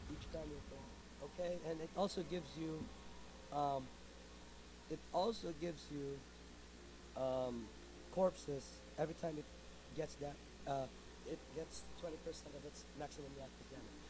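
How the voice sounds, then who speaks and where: Speaking at a moderate pace, a man with a Filipino accent leaves long, frequent pauses. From Philippines. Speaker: video game streamer. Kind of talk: tutorial. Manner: halting.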